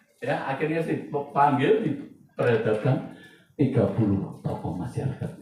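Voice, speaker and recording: There is audible room echo and noticeable background noise as a man talks at a moderate pace. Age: 60s. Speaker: pastor. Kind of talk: sermon. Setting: church.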